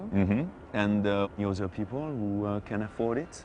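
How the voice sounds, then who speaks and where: A man's fairly low voice with ordinary pitch variation and a French accent. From Monaco. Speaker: local guide, Monegasque. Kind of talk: interview answer.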